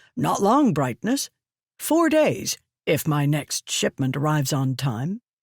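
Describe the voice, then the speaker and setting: A put-on character voice comes at a low-to-middle pitch and a fairly slow pace. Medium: read story. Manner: deferential, calls her "Brightness".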